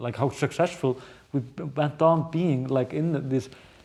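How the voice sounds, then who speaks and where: Speaking fairly slowly with a strong Icelandic accent, this man has a dark, mellow tone and ordinary pitch variation. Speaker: journalist and news show host. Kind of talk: podcast conversation. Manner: halting, many fillers and repeats.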